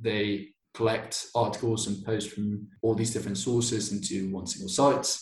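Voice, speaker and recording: A somewhat breathy man with a British accent, medium pitch, fairly even intonation and a moderate pace. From Basque Country, Spain. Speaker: robotics master's student. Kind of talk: casual interview.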